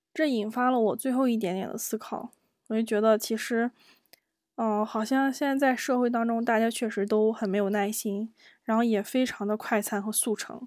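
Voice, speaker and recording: At a moderate pace, a woman speaks with a fairly high pitch and fairly even intonation on a very clean recording with a silent background. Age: 30s. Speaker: solo podcast host. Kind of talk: personal storytelling monologue. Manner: hesitant, many fillers.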